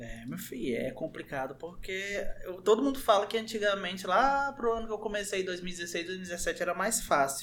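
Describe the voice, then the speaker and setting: Over noticeable background noise, a man speaks at a high pitch with lively intonation. He keeps a moderate pace with hardly any pauses. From born in Brazil's Southeast, identifies as northeastern. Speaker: youtuber. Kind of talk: casual chat.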